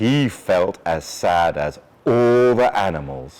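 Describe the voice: A man talks at a slow pace with a slightly mellow tone and ordinary pitch variation.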